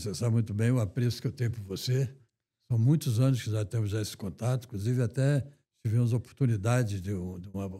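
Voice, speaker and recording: A man speaks at a very fast pace, somewhat breathy and with a dark, mellow tone. His pitch is medium, varying in an ordinary way. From Rio de Janeiro, Brazil. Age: 90s. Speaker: retired banker and finance association president. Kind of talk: interview.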